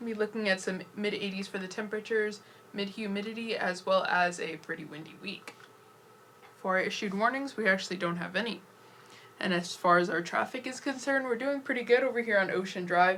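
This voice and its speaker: A woman's medium-pitched voice at a very fast pace, ordinary pitch variation, amid noticeable background noise. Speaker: student weather presenter. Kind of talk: TV weather forecast. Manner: casual, conversational.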